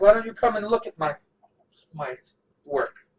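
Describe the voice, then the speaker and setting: At a moderate pace, a man performs a put-on character voice at a high pitch. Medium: actual play. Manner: guarded, proud, teasing.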